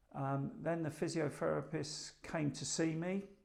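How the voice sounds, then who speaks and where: Someone with an English accent speaks at a very slow pace. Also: man. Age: 60s. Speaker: hospital patient. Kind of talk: testimony. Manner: hesitant, many filler ums.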